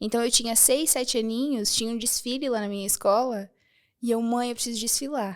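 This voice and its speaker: A voice with ordinary pitch variation, captured in a very clean recording against a silent background. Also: woman. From Rio Grande do Sul, Brazil (small inland town). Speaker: architect and women's empowerment speaker. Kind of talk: interview podcast.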